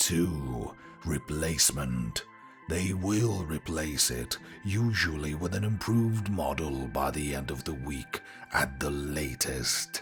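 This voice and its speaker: Doing a put-on character voice, a man speaks at a fairly slow pace with some hissing and clear music in the background. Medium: read story. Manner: authoritative, dry, matter-of-fact.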